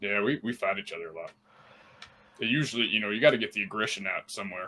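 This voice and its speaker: Using a put-on character voice, a man talks at a very fast pace, his pitch fairly low with ordinary variation. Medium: actual play. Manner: blunt, plainspoken.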